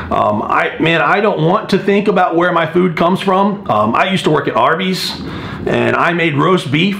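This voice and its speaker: A man with a high pitch talks at a moderate pace with lively intonation. Audible room echo and noticeable background noise fill the recording. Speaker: strength coach vlogger. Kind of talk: casual vlog monologue. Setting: gym. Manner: soft-spoken.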